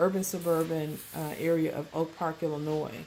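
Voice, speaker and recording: With audible room echo, a woman speaks fairly slowly in a fairly low pitch. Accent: American. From US South, Mississippi Delta. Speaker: vlogger, holistic health entrepreneur. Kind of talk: personal vlog monologue. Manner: halting, many fillers.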